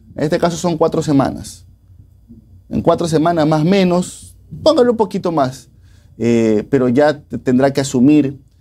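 A man with a fairly high voice and lively intonation speaks at a moderate pace, leaving long, frequent pauses. Faint music plays in the background. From Ecuador. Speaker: co-host. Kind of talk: news discussion show. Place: studio.

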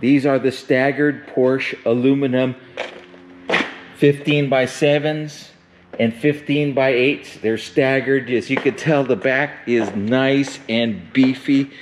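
A man at a very slow pace with fairly even intonation and very even loudness, over noticeable background noise. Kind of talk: sales walkaround commentary. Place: garage. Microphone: phone near.

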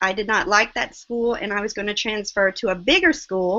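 A woman with a Southern US accent. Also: quiet background. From US South, small-town South Carolina. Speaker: online seller, guest. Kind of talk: interview. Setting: video call. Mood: reflective, earnest. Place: home room. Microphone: video call.

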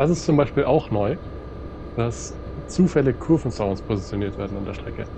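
Over noticeable background noise, a man with a medium pitch and lively intonation speaks at a moderate pace, with long, frequent pauses. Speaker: train simulator let's play host. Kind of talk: casual gaming commentary.

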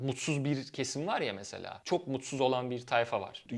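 A man's fairly high voice at a moderate pace, a normal speaking voice, in a very clean recording with a silent background. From Turkey, Izmir. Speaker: YouTuber on life in Germany. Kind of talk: casual vlog monologue.

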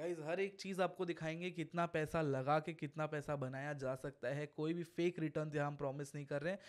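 Over a quiet background, the speaker keeps a moderate pace with fairly even intonation and hardly any pauses. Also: man. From India. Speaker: podcast host. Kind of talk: casual interview. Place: studio. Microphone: studio mic.

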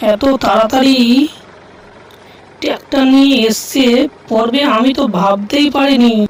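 In a cartoonish character voice, a female-sounding speaker talks at a high pitch and a fairly slow pace.

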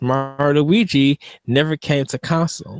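A man with a fairly high pitch at a very slow pace, in a quiet background with a dry sound and no echo. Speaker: podcast co-host. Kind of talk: casual chat. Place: home room. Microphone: studio mic.

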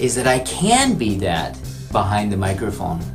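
Clear music sounds in the background. Over it a man talks at a moderate pace. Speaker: voice actor. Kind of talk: casual talk to camera. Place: booth. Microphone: studio mic.

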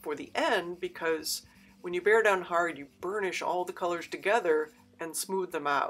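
Faint music plays behind a woman whose pitch varies in an ordinary way. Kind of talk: tutorial.

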